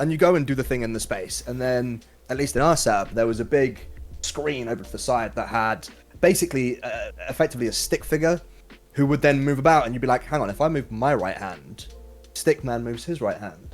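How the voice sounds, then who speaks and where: Music plays in the background as a man speaks at medium pitch with ordinary pitch variation. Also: fairly quick pace. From England, Shropshire. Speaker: twitch streamer, 3D animator. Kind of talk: casual chat. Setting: live stream.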